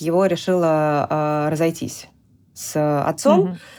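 At a fairly slow pace, a woman speaks with a very deep, low pitch on a very clean recording with a silent background. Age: 40s. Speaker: mother sharing personal story. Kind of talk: personal testimony in interview. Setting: studio.

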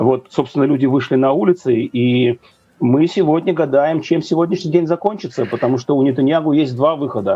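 Delivered at a fairly quick pace, an unremarkable speaking voice shows ordinary pitch variation. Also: man, fairly high pitch for a man. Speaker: news editor. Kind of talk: interview. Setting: video call.

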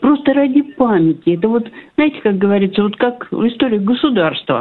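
A woman's normal speaking voice with lively intonation. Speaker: radio caller. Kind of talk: casual phone chat. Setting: phone call. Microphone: line drops out, gaps in sound.

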